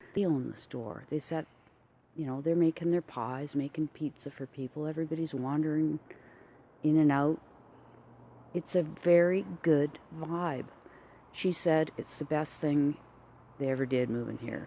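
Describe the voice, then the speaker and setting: With a Canadian accent, a woman speaks at a moderate pace in a very deep, low, dark and mellow voice, her intonation fairly even and her pauses long and frequent. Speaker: artist. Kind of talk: casual vlog, live video. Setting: outdoors, walking in town street.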